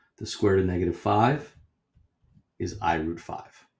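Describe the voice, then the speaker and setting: A man with a fairly low pitch sounds somewhat breathy. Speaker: math teacher. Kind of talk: lecture.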